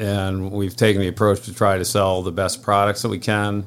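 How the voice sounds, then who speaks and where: On a very clean recording with a silent background, a man with a fairly low pitch speaks with an American accent. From upstate New York. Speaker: marina owner and water skier. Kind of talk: casual chat.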